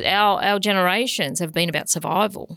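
Fairly quick speech from a woman with an Australian accent. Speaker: CEO of a health organisation, keynote speaker. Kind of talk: interview.

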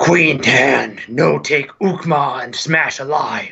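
A man puts on a character voice, growling and raspy at a fairly high pitch. He talks at a very slow pace. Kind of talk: broken, simple speech. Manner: growling, menacing.

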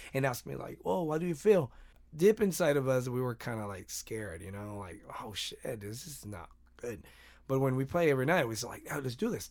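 A man's medium-pitched voice with a Spanish accent, fairly quick in pace, with big swings in loudness and very wide pitch swings. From Mexico, Mexicali. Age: 30s. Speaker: musician. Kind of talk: casual interview.

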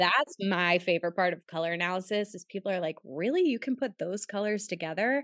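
In a normal speaking voice with an American accent, a woman talks at medium pitch with ordinary pitch variation, recorded with a dry, close sound with no echo against a quiet background. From Pittsburgh, US. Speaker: personal stylist and color analyst. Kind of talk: casual interview chat.

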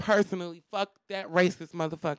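The voice moves at a moderate pace in a dry, close sound with no echo. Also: woman. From Detroit, Michigan. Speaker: OnlyFans creator and chef. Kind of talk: casual interview chat.

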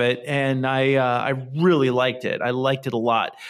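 A man's fairly high voice moves along at a moderate speed. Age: 40s. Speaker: podcast host. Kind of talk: casual chat. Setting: remote recording. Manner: halting, many fillers and restarts.

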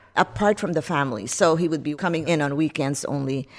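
A woman with a very deep, low voice speaks at a moderate pace with ordinary pitch variation, in a very clean recording with a silent background. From Philippines (Metro Manila area). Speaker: psychiatrist and psychic medium. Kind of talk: interview storytelling.

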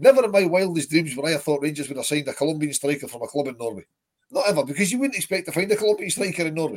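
A man with a Scottish accent talks very fast at a fairly high pitch. His tone is animated and his intonation lively. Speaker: football podcast host. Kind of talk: casual chat.

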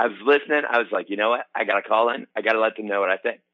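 A man speaks at a very fast pace in a bright, sharp tone with ordinary pitch variation, the sound dry and close with no echo. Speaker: caller. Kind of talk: casual comedic call-in. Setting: phone call.

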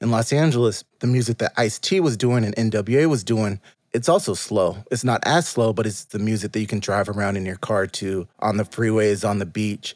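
A man with an American accent and a plain, everyday voice talks at a fairly quick pace, with a fairly low pitch and ordinary pitch variation. The recording is very clean with a silent background and a dry, close sound with no echo. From Southern California. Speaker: journalist and author. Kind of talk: casual chat. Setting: studio.

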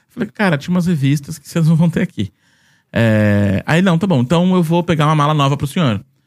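At a fairly quick pace, a plain, everyday voice speaks with lively intonation on a very clean recording with a silent background and a dry, close sound with no echo. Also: man, fairly high pitch for a man. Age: 30s. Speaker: Disney travel content creator. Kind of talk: casual chat.

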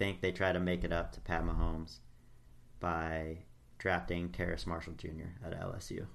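In a room with audible echo, a man with a very deep, low pitch speaks at a moderate pace with fairly even intonation. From US South. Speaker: sports podcast co-host. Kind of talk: casual chat.

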